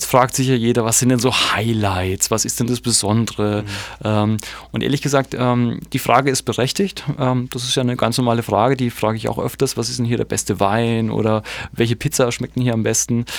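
A man's plain, everyday voice: medium pitch, fairly quick pace, fairly even intonation. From Germany. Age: 40s. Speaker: literary festival curator. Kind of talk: radio interview.

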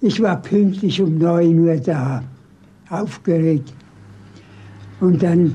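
A man speaks at a very slow pace with a high pitch. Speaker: former Nazi-era city planner. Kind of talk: interview.

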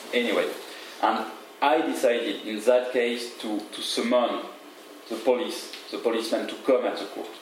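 A man speaks with a French accent at a moderate pace, with long, frequent pauses. Noticeable background noise and audible room echo are present. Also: medium pitch for a man, fairly even intonation, big swings in loudness. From France, Paris. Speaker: lawyer. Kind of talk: lecture.

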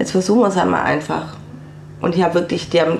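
A woman speaks at a fairly low pitch. Audible room echo and noticeable background noise surround her voice. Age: 40s. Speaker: cancer survivor and self-help group leader. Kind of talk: radio interview, personal testimony. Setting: radio studio.

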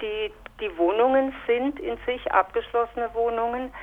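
Very slow delivery from a woman with a fairly high pitch and ordinary pitch variation. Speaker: resident of a housing project. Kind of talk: interview. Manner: halting.

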